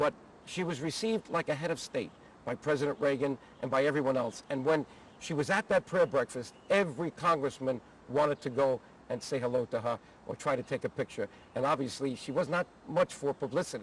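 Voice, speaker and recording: A man with a plain, everyday voice talks at a fairly high pitch and a fairly quick pace, his pitch varying in an ordinary way. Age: 60s. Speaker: former congressman, advocacy group leader. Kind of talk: personal reminiscence interview. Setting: outdoors at the Capitol.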